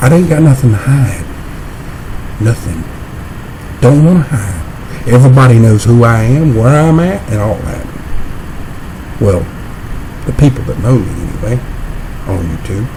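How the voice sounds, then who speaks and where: An American-accented man at medium pitch, lively in intonation with long, frequent pauses, amid audible room echo and noticeable background noise. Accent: country accent, his own way of talking. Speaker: YouTuber. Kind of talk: confrontational video rant. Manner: slow.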